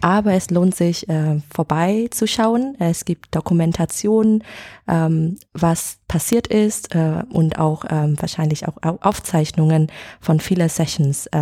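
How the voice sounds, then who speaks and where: A woman with a Vietnamese accent and a fairly low pitch speaks very slowly at very even loudness, with ordinary pitch variation, on a very clean recording with a silent background. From Vietnam, Hanoi. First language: Vietnamese (speaking German). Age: 20s. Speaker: editor at an education agency. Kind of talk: interview. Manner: halting, many fillers.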